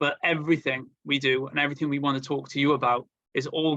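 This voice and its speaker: A man's fairly high-pitched voice in a flat monotone. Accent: Welsh. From Wales. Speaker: marketing agency representative. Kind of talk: webinar presentation. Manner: hesitant, many fillers and repetitions.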